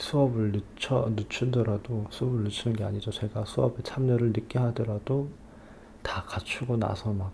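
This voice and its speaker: Here a man with an unremarkable speaking voice talks at a fairly low pitch with fairly even intonation. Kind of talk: ASMR advice talk for sleep, soft spoken to listener. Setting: recorded at home at dawn with car noise outside. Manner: soft-spoken, slow, relaxed.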